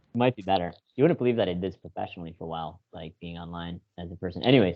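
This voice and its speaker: Very deep, low-pitched man with an American accent, very fast, with ordinary pitch variation and big swings in loudness. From Chicago. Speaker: podcast guest. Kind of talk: casual chat.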